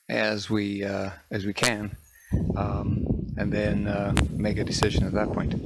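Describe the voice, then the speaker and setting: Over noticeable background noise and audible room echo, a man with a fairly low voice talks fairly slowly, his pitch varying in an ordinary way. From Canadian Prairies (southeastern Manitoba). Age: 60s. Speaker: farmer. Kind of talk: interview. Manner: halting, many fillers.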